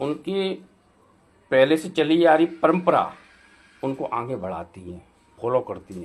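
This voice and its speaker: Using very wide pitch swings at a fairly high pitch, a man talks with long, frequent pauses. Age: 60s. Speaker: advocate and vlogger. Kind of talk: social commentary monologue. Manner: halting, with fillers.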